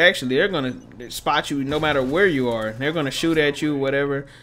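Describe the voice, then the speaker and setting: Over noticeable background noise, a man with a fairly high voice speaks with ordinary pitch variation. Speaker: gaming youtuber. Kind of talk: gameplay commentary. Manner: casual, stumbling.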